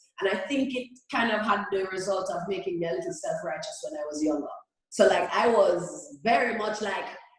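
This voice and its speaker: Speaking at a fairly quick pace, a woman with a fairly high pitch swings very widely up and down, and audible room echo surrounds her. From Jamaica. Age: 30s. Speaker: reggae singer. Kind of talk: interview.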